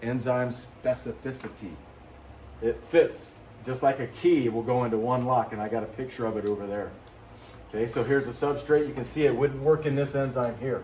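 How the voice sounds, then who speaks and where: Speaking at a fairly quick pace and medium pitch, a man is heard with audible room echo. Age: 50s. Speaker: biology teacher. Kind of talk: lecture. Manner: animated.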